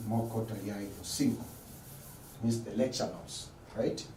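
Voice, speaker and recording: This man's voice carries audible room echo and noticeable background noise. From Tanzania. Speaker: lecturer. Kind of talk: lecture. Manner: repetitive.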